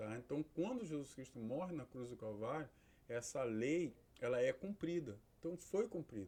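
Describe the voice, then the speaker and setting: Lively intonation from a man with a dark, mellow tone and a medium-pitched voice. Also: moderate pace. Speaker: pastor and theology teacher. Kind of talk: lecture.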